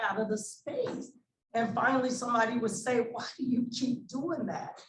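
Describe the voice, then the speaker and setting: Audible room echo around a woman's fairly high pitch with ordinary pitch variation. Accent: American. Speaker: nonprofit founder, former police officer. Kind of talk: panel discussion. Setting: stage with audience. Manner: loud.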